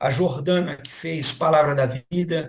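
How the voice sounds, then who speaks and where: Somewhat breathy, the man's voice sits at a fairly high pitch with fairly even intonation. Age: 60s. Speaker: senior pastor and live host. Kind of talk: live-stream panel moderation.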